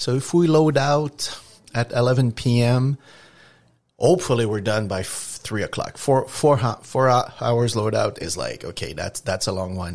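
The speaker has a Quebec accent and lively intonation. The pace is moderate. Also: man, medium pitch for a man. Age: 60s. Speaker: trucking company owner. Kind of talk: interview. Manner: halting.

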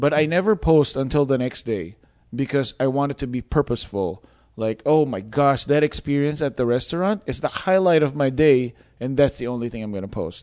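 The background is quiet as a man with an American accent talks at a fairly quick pace. His pitch is fairly high and his intonation lively. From Philippines. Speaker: podcast host, wedding videographer. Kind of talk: casual interview chat. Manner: playful.

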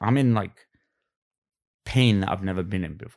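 In a very clean recording with a silent background, a man with a Cockney accent speaks in a fairly low pitch with fairly even intonation. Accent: Cockney London English. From London, England. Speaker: guest. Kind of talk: casual interview chat.

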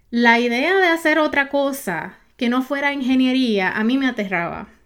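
On a very clean recording with a silent background, a woman talks at a fairly slow pace. Her high voice has lively intonation and an animated tone. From Puerto Rico. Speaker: podcast host, online business coach. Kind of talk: solo podcast monologue.

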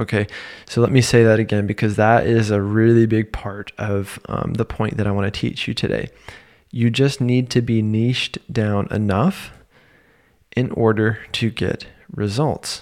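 The delivery comes at a moderate pace with fairly even intonation. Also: man. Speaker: podcast host for therapists in private practice. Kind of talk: solo podcast episode, business advice.

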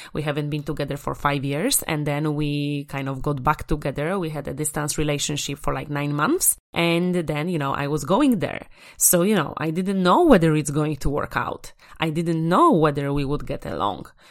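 A woman's very deep, low voice with a Polish accent, animated in tone at a moderate pace, on a very clean recording with a silent background. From Poland. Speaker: podcast host, confidence coach. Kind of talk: motivational solo podcast.

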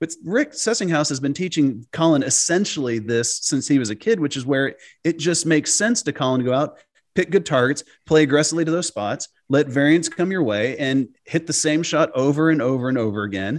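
With an unremarkable speaking voice, a man talks at a fairly quick pace, his fairly high pitch carrying lively intonation. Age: 40s. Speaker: golf analytics founder, former pro golfer. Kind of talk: podcast interview.

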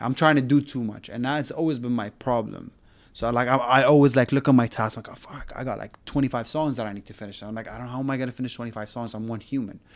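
With an Arabic accent, a man talks very fast and hardly pauses. His loudness swings widely. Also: medium pitch for a man, fairly even intonation. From Syria and Saudi Arabia. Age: 30s. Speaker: music producer. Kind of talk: casual chat. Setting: home studio in a bedroom.

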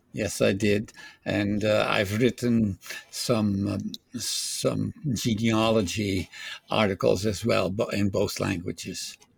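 A very slow pace with a slight Dutch accent. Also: man. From Netherlands. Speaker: retirement home resident and ham radio hobbyist. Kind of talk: interview. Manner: halting.

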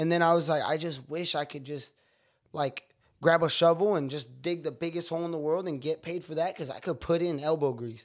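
This man speaks at a fairly quick pace with fairly even intonation. His pitch is fairly high. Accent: Californian. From San Francisco Bay Area, California. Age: 20s. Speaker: rapper and chef. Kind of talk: casual chat.

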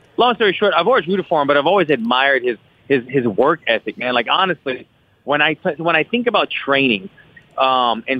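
A man speaks in an ordinary speaking voice, fairly high-pitched, with lively intonation. His loudness stays very even at a fairly quick pace. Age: 30s. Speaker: fighter. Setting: phone call.

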